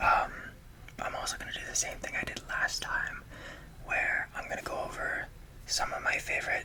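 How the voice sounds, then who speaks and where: Whispering in a relaxed tone, the speaker is heard over noticeable background noise. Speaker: ASMR content creator. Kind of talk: ASMR whispered rambling about a CD collection. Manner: whispered, relaxed, casual.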